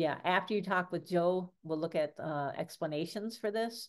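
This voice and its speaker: Over a quiet background, a woman with an American accent uses an ordinary speaking voice at a fairly low pitch, with ordinary pitch variation. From Michigan, US. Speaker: science education trainer. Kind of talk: online workshop presentation.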